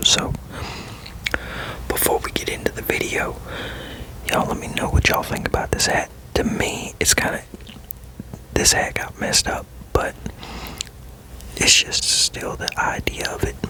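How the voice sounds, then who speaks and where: A man whispers at a moderate pace with long, frequent pauses. Background noise is noticeable. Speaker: fragrance reviewer and ASMR creator. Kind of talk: fragrance review whispered to camera. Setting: home recording, noisy. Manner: whispered.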